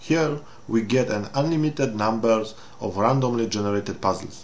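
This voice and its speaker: Medium-pitched male voice in a Polish accent, with ordinary pitch variation, a moderate pace and audible room echo. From Poland. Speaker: game reviewer. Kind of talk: game review walkthrough. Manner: halting non-native English.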